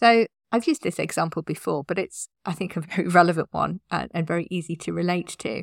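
Speaking at a fairly quick pace with hardly any pauses, a woman with a fairly low pitch, vocal fry, and ordinary pitch variation sounds dry and close with no echo on a very clean recording with a silent background. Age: 50s. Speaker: podcast host, website designer. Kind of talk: solo podcast tips talk.

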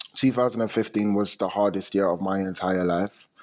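A man at a very slow pace, fairly low in pitch, amid noticeable background noise. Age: 20s. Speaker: musician. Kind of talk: interview.

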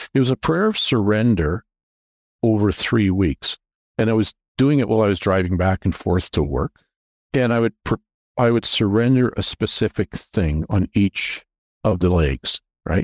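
A man speaks with a Canadian accent at a moderate pace, his fairly low voice carrying lively intonation and very even loudness. There are long, frequent pauses, and the sound is dry and close with no echo, on a very clean recording with a silent background. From Canada, Toronto area. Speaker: investment bank founder. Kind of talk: casual interview, faith testimony.

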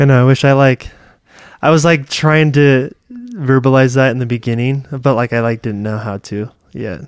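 A man with an American accent uses an ordinary speaking voice at medium pitch, talking at a moderate pace with fairly even intonation. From California. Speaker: guest sharing experiences of living in Thailand. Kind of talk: casual chat. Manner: casual, filler-heavy.

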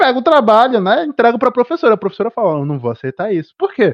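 A man is speaking. His pitch swings very widely. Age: 20s. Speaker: podcast host. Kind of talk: casual chat. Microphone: connection dropping out.

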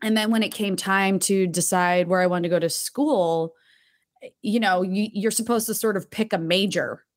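A woman's medium-pitched voice with a slight New Jersey accent, moderate pace and fairly even intonation. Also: very clean recording, silent background. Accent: General American, slight New Jersey. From New Jersey (Tewksbury Township). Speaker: actress. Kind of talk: casual interview chat.

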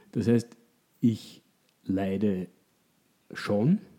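Fairly low in pitch, a man speaks with a dark, mellow tone and fairly even intonation. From Austria. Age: 30s. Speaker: economist. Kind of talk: interview. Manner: halting, many repetitions.

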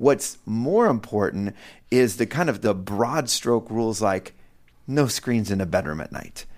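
Recorded very cleanly against a silent background, a man with a plain, everyday voice and medium pitch talks at a fairly slow pace with lively intonation. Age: 50s. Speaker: parenting author and speaker. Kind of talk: casual chat.

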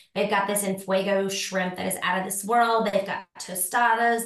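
Audible room echo surrounds a woman speaking at medium pitch and a moderate pace with ordinary pitch variation. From Tennessee, Nashville. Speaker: lifestyle blogger and rental property owner. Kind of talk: casual interview chat.

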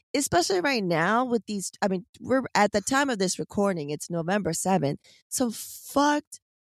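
A woman speaks loudly. The background is quiet. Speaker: podcast host. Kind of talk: casual chat. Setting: in a car.

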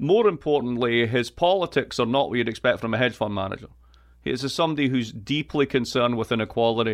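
A man speaks at a medium pitch with a Scottish accent, talking very fast with ordinary pitch variation. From Scotland. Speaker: political economy professor. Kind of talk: interview. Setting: video call. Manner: animated.

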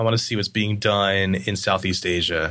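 A man's fairly low voice, an unremarkable speaking voice, with ordinary pitch variation and a fairly slow pace. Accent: American. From Pennsylvania (York). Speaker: design agency founder. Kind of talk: interview. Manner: casual, laughs often.

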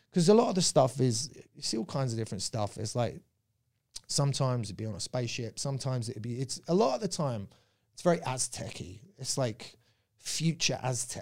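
A somewhat breathy man with a southern English accent, medium pitch, lively intonation and a fairly quick pace, on a very clean recording with a silent background. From Surrey, England. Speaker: comedian. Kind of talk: casual chat.

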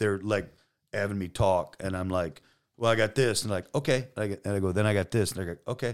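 A man talks at a very fast pace in a fairly low voice with ordinary pitch variation. The recording is very clean, with a silent background. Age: 50s. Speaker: police detective. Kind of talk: casual interview. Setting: studio. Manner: loud.

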